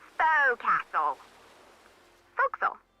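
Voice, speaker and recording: A put-on character voice at a high pitch. It moves at a moderate pace. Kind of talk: rough, uneducated.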